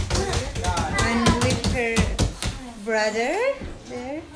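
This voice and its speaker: A woman speaks at a very slow pace while clear music plays in the background. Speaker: vlogger visiting a friend. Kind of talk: casual vlog chat. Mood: cheerful, amused. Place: home room. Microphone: phone near.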